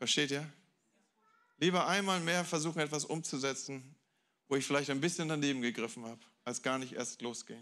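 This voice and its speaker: Against a quiet background, a man with a fairly high pitch and a bright, sharp tone speaks at a fairly quick pace with ordinary pitch variation. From Germany, Hamburg; Germany. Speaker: guest pastor; preacher. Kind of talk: sermon. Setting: church with audience. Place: church. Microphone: handheld.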